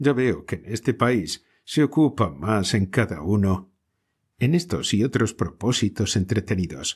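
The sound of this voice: It is an unforced reading voice over a quiet background.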